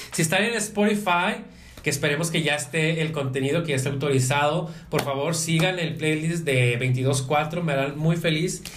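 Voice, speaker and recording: A man speaks at a fairly high pitch with ordinary pitch variation and very even loudness. Audible room echo and noticeable background noise fill the recording. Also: moderate pace. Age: 30s. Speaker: podcast host. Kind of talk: casual chat. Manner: halting.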